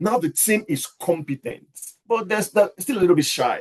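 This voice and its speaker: Swinging very widely in pitch, a man talks at a moderate pace in a high voice. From Nigeria. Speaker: leadership coach. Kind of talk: lecture.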